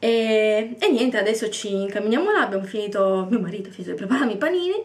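A woman's voice with ordinary pitch variation. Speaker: craft seller vlogger. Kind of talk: casual vlog chat. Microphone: phone near.

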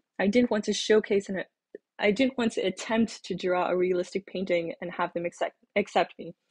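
Over a quiet background, a woman with a somewhat breathy voice speaks with fairly even intonation. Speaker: graduate school applicant / vlogger. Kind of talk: casual advice monologue. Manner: hesitant, with pauses and fillers. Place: home room. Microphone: webcam.

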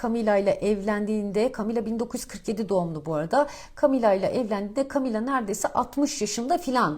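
Her voice is fairly high and somewhat breathy, with lively intonation. This woman speaks at a moderate pace with hardly any pauses. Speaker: financial markets commentator. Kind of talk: market commentary monologue. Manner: casual, many filler hesitations.

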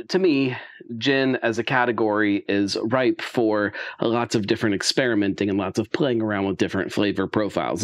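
Against a quiet background, a man's speech moves at a moderate pace. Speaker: spirits reviewer. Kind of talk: casual review commentary. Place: home room.

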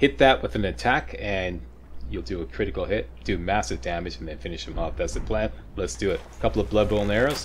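Very deep and low with vocal fry, a man's voice moves at a fairly quick pace through very wide pitch swings. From Canada. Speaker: gaming YouTuber. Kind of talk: gameplay walkthrough commentary.

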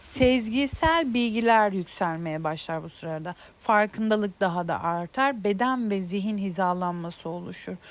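A woman speaks at a medium pitch with lively intonation and a fairly slow pace. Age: 30s. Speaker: self-help video creator. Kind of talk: casual monologue on intuition. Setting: outdoors in a garden. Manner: hesitant, many filler sounds.

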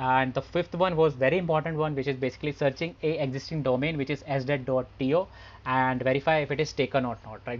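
His intonation stays fairly flat and level. The man talks fairly quickly. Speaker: software testing instructor. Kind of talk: tutorial. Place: home room. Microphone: headset.

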